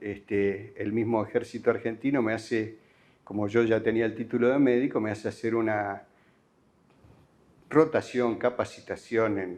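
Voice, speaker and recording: Against a quiet background, a man talks fairly slowly at a medium pitch. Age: 60s. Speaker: rural family doctor. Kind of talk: interview testimony. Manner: hesitant, many fillers.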